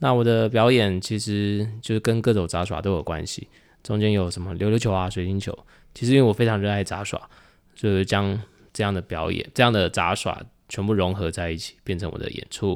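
A man with a Taiwanese accent talks at a fairly quick pace and a fairly low pitch. His intonation is fairly even, on a very clean recording with a silent background. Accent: Taiwanese Mandarin. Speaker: juggling performer. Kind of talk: casual chat.

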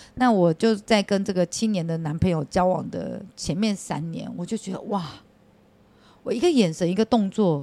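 Her tone dark and mellow, a woman speaks at a medium pitch and a moderate pace, with ordinary pitch variation. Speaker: hostess bar madam. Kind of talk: casual chat.

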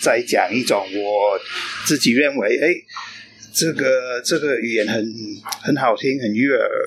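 A man with an English accent talks at a fairly slow pace against noticeable background noise. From England. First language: English (speaking Chinese). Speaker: long-term expat, interviewee. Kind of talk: casual interview. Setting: cafe. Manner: halting, many fillers.

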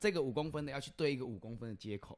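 On a very clean recording with a silent background, a man with a medium-pitched voice talks at a very fast pace. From Chiayi, Taiwan. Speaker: podcast host. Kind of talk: casual chat.

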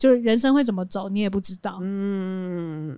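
In a normal speaking voice, a woman talks at a moderate pace with lively intonation on a very clean recording with a silent background. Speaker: podcast co-host and live streamer. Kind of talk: casual chat.

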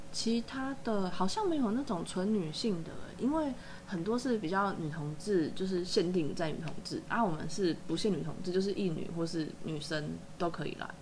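A woman at medium pitch with lively intonation and a moderate pace, with audible room echo and noticeable background noise. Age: 30s. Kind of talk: casual chat.

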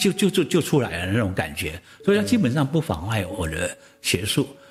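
A man talks fairly fast, his pitch swinging very widely, with noticeable noise in the background. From Taiwan, Jinguashi. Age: 70s. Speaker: poet and professor. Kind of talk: interview storytelling.

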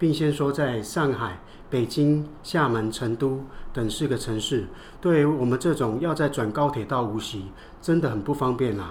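His voice is somewhat breathy, at a medium pitch. The man talks at a moderate pace. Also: ordinary pitch variation. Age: 60s. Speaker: business owner. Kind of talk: scripted dialogue.

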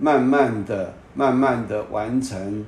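Audible room echo surrounds a man whose medium-pitched voice shows ordinary pitch variation. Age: 60s. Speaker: podcast host, real estate commentator. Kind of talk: solo commentary monologue. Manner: halting, many filler particles.

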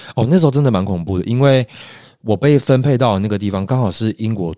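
A normal speaking voice with lively intonation at a fairly quick pace, very clean recording, silent background. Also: man. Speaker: actor and acting coach. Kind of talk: casual chat.

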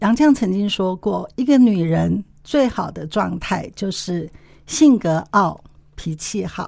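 At a very slow pace, a woman with medium pitch speaks with lively intonation on a very clean recording with a silent background. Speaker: co-host, women's forum executive. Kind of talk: interview conversation.

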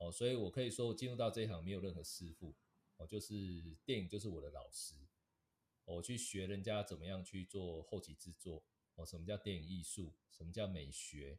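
A man's very deep, low, somewhat breathy voice at a fairly quick pace with ordinary pitch variation. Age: 40s. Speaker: advertising director. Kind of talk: interview.

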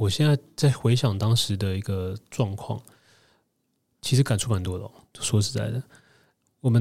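On a very clean recording with a silent background, a man speaks at medium pitch in a somewhat breathy voice. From Taiwan. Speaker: former food-industry marketer, interviewee. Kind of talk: interview testimony.

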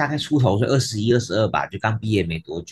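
Somewhat breathy, a man talks at a very fast pace in a fairly low pitch. His intonation is lively. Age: 40s. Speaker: physical therapist and kidney patient. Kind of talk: interview conversation.

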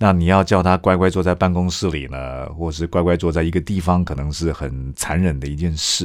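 A man speaks at a moderate pace in a very deep, low voice. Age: younger than 60s. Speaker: pastor and seminary lecturer. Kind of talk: casual chat.

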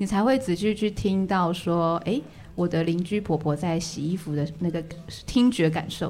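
A woman's fairly low-pitched voice at a moderate pace, a plain, everyday voice. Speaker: visual artist and community college teacher. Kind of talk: casual chat.

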